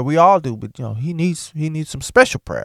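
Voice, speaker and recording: An animated man at a fairly quick pace, with very wide pitch swings, in a dry, close sound with no echo and a very clean recording with a silent background. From US South. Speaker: podcast host. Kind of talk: monologue rant.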